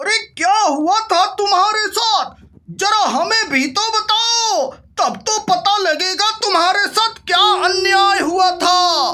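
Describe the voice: An extremely high-pitched, cartoonish character voice moves along at a fairly slow pace.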